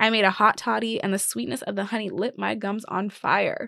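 A woman speaks at a medium pitch with vocal fry and ordinary pitch variation. The sound is dry and close with no echo, over a quiet background. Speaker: podcast host. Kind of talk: solo monologue podcast.

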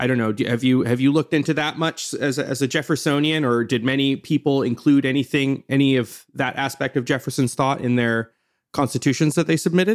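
With a normal speaking voice, a man talks at a fairly quick pace and fairly high pitch with hardly any pauses, fairly even intonation and very even loudness, in a very clean recording with a silent background. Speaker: podcast host. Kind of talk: interview conversation.

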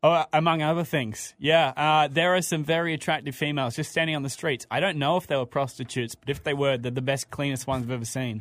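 A man with an Australian accent, fairly high in pitch, with fairly even intonation, a very fast pace and hardly any pauses. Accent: Australian, people mistake it for English. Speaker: radio host. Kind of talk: casual chat. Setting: studio.

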